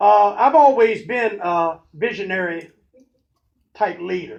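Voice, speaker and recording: A loud man's voice. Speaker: pastor and motivational speaker. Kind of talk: motivational talk.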